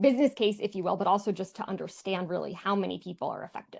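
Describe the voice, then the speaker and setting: Against a quiet background, a woman with an American accent talks at medium pitch with fairly even intonation. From New York. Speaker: design and accessibility speaker. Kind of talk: presentation. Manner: fast.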